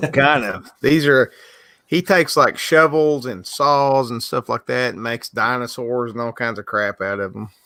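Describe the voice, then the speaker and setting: In a Southern US accent, a man speaks with a bright, sharp tone, ordinary pitch variation and big swings in loudness. The sound is dry and close with no echo, a very clean recording over a silent background. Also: medium pitch for a man, moderate pace. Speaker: livestreaming artist. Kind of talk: casual chat.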